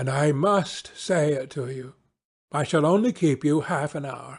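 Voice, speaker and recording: A man talks at a moderate pace in a raspy, fairly high-pitched voice. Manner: grave.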